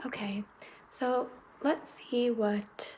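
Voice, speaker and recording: A woman speaks in a calm, gentle tone. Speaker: ASMR creator. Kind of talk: ASMR massage roleplay. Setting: recorded without an external mic, with heater noise in the background. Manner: soft-spoken, calm, gentle.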